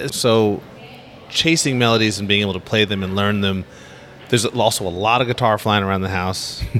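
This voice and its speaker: A man with an American accent, fairly low in pitch and fairly quick, an ordinary speaking voice. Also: ordinary pitch variation. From US West Coast (Los Angeles). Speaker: upright bass player. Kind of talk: casual interview. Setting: on location at a jazz festival.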